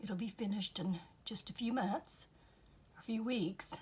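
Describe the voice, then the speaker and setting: A somewhat breathy woman at a fairly slow pace, with ordinary pitch variation. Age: 60s. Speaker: craft youtuber. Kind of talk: casual crafting tutorial.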